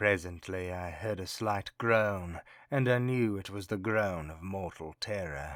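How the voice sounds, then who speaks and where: Someone puts on a character voice at a fairly slow pace, recorded very cleanly against a silent background. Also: man, very deep, low pitch for a man. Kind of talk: gothic horror reading. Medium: read story. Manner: intense, feverish, insisting on his sanity.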